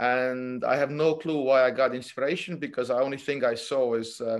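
A normal speaking voice at a moderate pace with fairly even intonation, in a very clean recording with a silent background. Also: man. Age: 40s. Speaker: jiu-jitsu coach. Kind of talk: casual chat.

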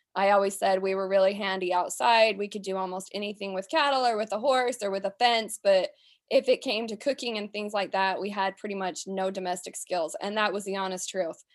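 With an American accent and a plain, everyday voice, a woman talks at a fairly quick pace and medium pitch with hardly any pauses. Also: fairly even intonation, very clean recording, silent background. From US West, southern Utah. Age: 30s. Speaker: rancher. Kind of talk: interview.

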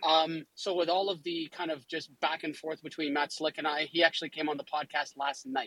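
At a fairly quick pace, a man with an ordinary speaking voice talks at a fairly high pitch with ordinary pitch variation. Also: dry, close sound with no echo. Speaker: atheist participant with psychology degree. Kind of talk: casual debate. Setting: online audio chat room.

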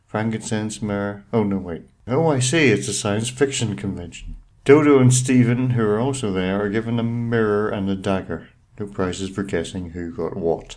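His pitch is fairly low. This man speaks with ordinary pitch variation. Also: moderate pace. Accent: Irish. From Ireland. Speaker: podcast co-host. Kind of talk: reading a plot synopsis aloud; casual chat.

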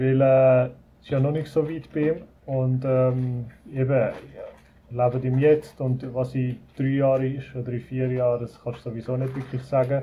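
A man is speaking. His pitch is medium. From Switzerland, Zurich Oberland. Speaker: resort owner, emigrant. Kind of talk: casual interview. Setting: video call.

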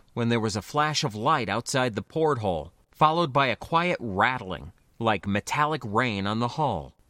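Someone reads aloud in a natural voice.

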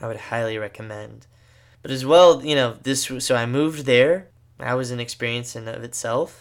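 With an American accent, a man speaks in a plain, everyday voice at a moderate pace and fairly even intonation, on a very clean recording with a silent background. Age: 20s. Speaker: podcast host, seminarian. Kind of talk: solo podcast monologue. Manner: casual, filler-heavy.

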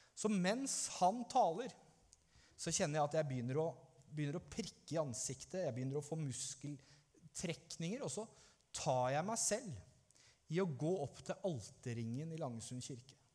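At a moderate pace, a man with a dark, mellow tone speaks at a fairly high pitch with lively intonation. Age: 30s. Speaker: pastor. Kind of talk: sermon.

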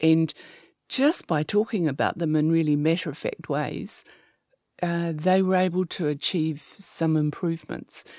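In a New Zealand accent, a woman speaks slowly at a fairly low pitch in a dark, mellow tone, her loudness very even, in a very clean recording with a silent background. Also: fairly even intonation. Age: 60s. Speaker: sex therapist. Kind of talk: interview.

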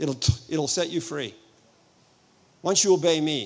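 Here a man is speaking. His pace is fairly slow. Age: 70s. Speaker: pastor. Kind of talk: sermon. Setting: church. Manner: animated.

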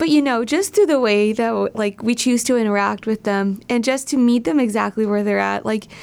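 With an American accent, a woman uses an ordinary speaking voice at a fairly high pitch. Her pace is moderate, with ordinary pitch variation. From Southern California. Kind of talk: radio interview. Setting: studio.

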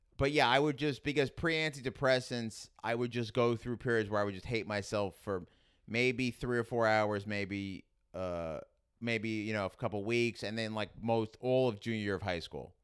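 With a strong New York accent, a man speaks at a moderate pace and medium pitch with ordinary pitch variation. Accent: strong New York (Queens). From Queens, New York City. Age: 30s. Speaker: stand-up comedian. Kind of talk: casual interview chat. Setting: studio.

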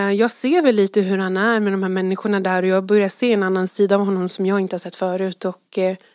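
A woman talks at a moderate pace and medium pitch in a plain, everyday voice. The recording is very clean, with a silent background. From Sweden. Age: 30s. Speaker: teacher. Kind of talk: testimony. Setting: studio.

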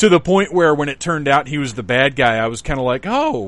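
A man speaks at a fairly quick pace with a medium pitch. His tone is fairly bright, with big pitch swings.

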